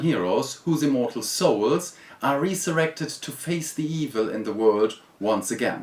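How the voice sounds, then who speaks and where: A man with a German accent uses lively intonation and a fairly high pitch. He speaks at a moderate pace. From Germany. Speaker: board game reviewer. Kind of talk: video review.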